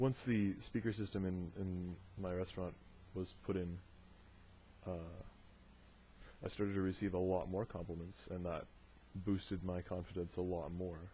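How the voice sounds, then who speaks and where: A man's very deep, low, somewhat breathy voice, dark and mellow in tone, monotone and flat, at a moderate pace with long, frequent pauses. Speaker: video diarist. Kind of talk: audio diary monologue. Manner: hesitant, many fillers.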